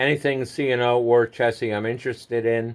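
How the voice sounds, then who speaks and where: On a very clean recording with a silent background, a man of medium pitch speaks at a moderate pace. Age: 60s. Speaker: model train hobbyist. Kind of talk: casual video tour. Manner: relaxed, hesitant with many fillers.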